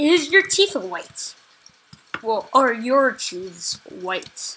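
Over noticeable background noise, a woman speaks very slowly in a high, raised, projected voice with very wide pitch swings. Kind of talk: casual gaming commentary. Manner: stuttering; hesitant, repeats words.

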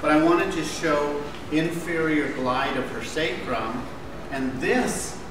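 A man is speaking over noticeable background noise. Audible room echo surrounds his voice. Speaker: manual therapy instructor. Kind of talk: lecture demonstration. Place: classroom. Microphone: camera far.

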